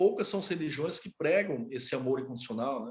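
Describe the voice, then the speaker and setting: With lively intonation, a man in a fairly high, somewhat breathy voice talks at a fairly quick pace. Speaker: educator teaching a class. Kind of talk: lecture. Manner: fast; halting, with many fillers.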